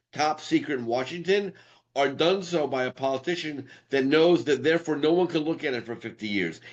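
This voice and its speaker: This man has an unremarkable speaking voice with an American accent. His pitch is fairly high and varies in an ordinary way. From New York City. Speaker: podcast host. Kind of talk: casual interview.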